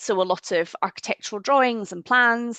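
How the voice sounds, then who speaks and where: The speaker has a strong Scottish accent and a bright, sharp tone, with ordinary pitch variation at a moderate pace. The sound is dry and close with no echo, against a quiet background. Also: woman. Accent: broad Scottish. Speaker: theatre archivist. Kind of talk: webinar presentation.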